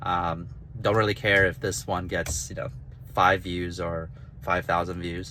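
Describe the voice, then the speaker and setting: This man's voice has a bright, sharp tone with vocal fry. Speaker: author and gamification designer. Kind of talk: casual vlog monologue. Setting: in a car while driving. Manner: halting, with stutters and restarts.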